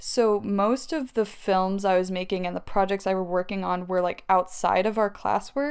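A woman with an ordinary speaking voice at medium pitch, ordinary pitch variation and a moderate pace, on a very clean recording with a silent background. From US South, Tennessee (Maryville). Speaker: filmmaker. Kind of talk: casual chat.

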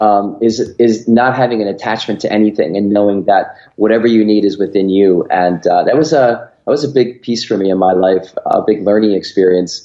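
With an American accent, a man speaks fairly quickly at a fairly low pitch, his pitch varying in an ordinary way. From upstate New York, Rochester. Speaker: life coach and entrepreneur. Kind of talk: interview conversation.

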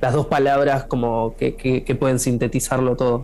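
Monotone, flat intonation comes through in an Argentine accent, with noticeable background noise behind it. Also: man. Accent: Argentine Spanish (Rioplatense). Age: 30s. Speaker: musician. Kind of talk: interview.

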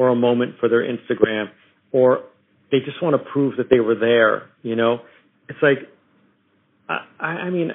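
At a moderate pace, a man with an American accent speaks at a medium pitch. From US Northeast (New York tri-state area). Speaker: photographer. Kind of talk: interview. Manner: halting, many fillers.

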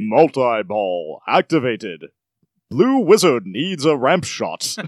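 A man uses a put-on character voice at a medium pitch, with very wide pitch swings. He talks at a fairly slow pace in a very clean recording with a silent background. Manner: dramatic, commanding.

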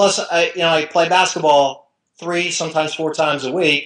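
A man with an American accent talks at a moderate pace with fairly even intonation in an unremarkable speaking voice. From New Jersey. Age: 50s. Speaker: sports writer and blogger. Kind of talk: interview.

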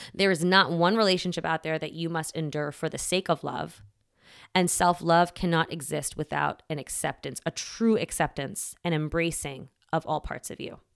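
Recorded very cleanly against a silent background, a woman speaks in an ordinary speaking voice at a fairly low pitch. She keeps a moderate pace and fairly even intonation. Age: 40s. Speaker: podcast host and self-care coach. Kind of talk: solo podcast monologue. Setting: at home. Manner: casual, laughs often.

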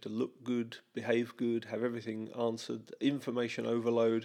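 A man with an unremarkable speaking voice, medium pitch and moderate pace, in a very clean recording with a silent background. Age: 50s. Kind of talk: casual chat.

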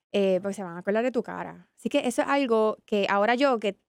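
A woman's ordinary speaking voice, medium in pitch with ordinary pitch variation and a fairly quick pace, in a very clean, dry, close recording with no echo and a silent background. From Puerto Rico, San Juan. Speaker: business ecosystem professional. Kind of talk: interview.

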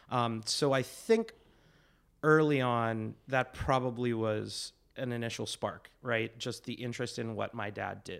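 An ordinary speaking voice from a man at medium pitch, fairly slow and fairly even in intonation, on a very clean recording with a silent background. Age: 30s. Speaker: improviser and actor. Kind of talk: casual chat.

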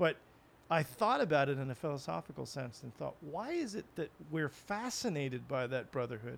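A man with an ordinary speaking voice talks at a moderate pace, his pitch fairly high. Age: 40s. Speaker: podcast guest, writer. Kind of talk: casual chat.

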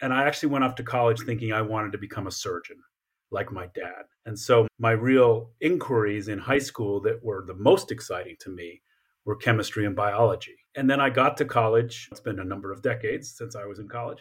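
A man with an American accent speaks at a fairly quick pace in a medium pitch, his somewhat breathy voice showing ordinary pitch variation and big swings in loudness on a very clean recording with a silent background. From Colorado Springs, US (military family, partly Japan). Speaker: history professor. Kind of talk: interview.

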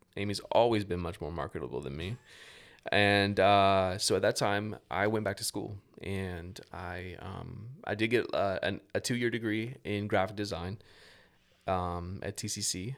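This is an unremarkable speaking voice from a man with a fairly low pitch and ordinary pitch variation. He talks at a fairly slow pace in a very clean recording with a silent background. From Tallahassee, Florida (US South). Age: 40s. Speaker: church volunteer team leader, former worship leader. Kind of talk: testimony.

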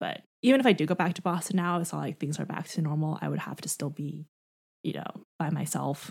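A woman speaks in a fairly low pitch with vocal fry and fairly even intonation. The recording is very clean, with a silent background. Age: 20s. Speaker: podcast co-host. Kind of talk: casual chat.

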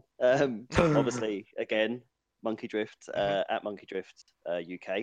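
An unremarkable speaking voice from a man, fairly low in pitch, ordinary pitch variation, in a dry, close sound with no echo. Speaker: racing driver. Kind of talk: casual chat.

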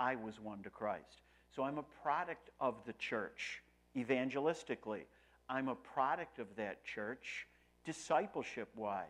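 Spoken with a Western New York accent, the delivery is fairly slow. Its pitch variation is ordinary. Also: man, medium pitch for a man. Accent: Western New York American. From US Northeast, Rochester, New York. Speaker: pastor. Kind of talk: sermon.

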